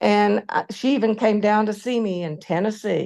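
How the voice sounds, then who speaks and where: Against a quiet background, a woman speaks with a Southern US accent at medium pitch. Her pitch varies ordinarily and her pace is moderate. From US South. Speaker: former faculty colleague. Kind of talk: memorial tribute. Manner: halting.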